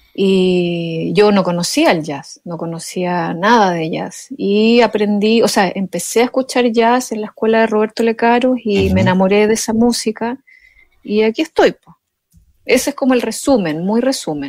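Speaking at a moderate pace in a Chilean accent, a woman with a fairly high pitch shows lively intonation and big swings in loudness. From Chile, Chiloé island. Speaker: jazz pianist and composer. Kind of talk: interview.

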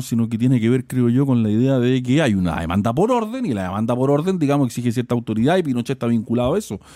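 A man speaks at a very fast pace and a medium pitch, his tone dark and mellow. The intonation is lively, and the sound is dry and close with no echo. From Chile. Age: 40s. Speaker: philosopher and columnist. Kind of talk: radio interview.

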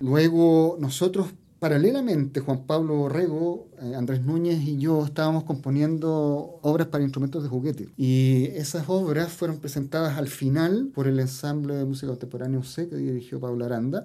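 This man talks at a moderate pace with a fairly high pitch, fairly even intonation and a dark, mellow tone. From Los Andes, central Chile. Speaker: composer and music teacher. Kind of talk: interview about music.

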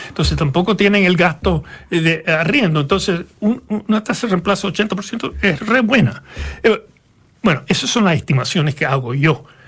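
Noticeable background noise sits behind a man with a high pitch. His intonation is lively and his loudness very even. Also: moderate pace. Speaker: economist. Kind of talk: interview. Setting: studio.

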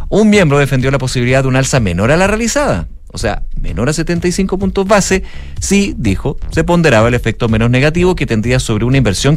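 A man at a medium pitch talks at a fairly quick pace with very wide pitch swings, over background music and audible room echo. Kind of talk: news reading.

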